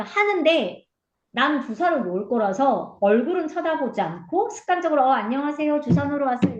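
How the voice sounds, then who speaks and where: The woman's pitch swings very widely as she speaks. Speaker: nurse. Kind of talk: interview.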